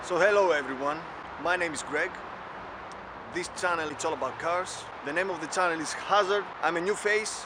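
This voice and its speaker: A man with a Greek accent and a high pitch speaks at a moderate pace with fairly even intonation, amid audible room echo and noticeable background noise. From Greece. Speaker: car club member, video presenter. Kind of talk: casual vlog intro. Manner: halting.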